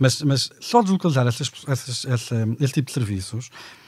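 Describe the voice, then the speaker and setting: A man talks with a dark, mellow, somewhat breathy tone and lively intonation. The recording is very clean with a silent background and a dry, close sound without echo. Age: 40s. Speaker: economist. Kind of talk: panel discussion.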